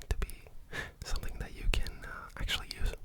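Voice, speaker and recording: Noticeable background noise surrounds a man who is whispering. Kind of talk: language lesson, whispered teaching. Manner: whispered, relaxing.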